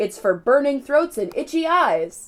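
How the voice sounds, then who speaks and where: In a put-on character voice, a woman speaks at a moderate pace. Her pitch is high and swings very widely. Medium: read story.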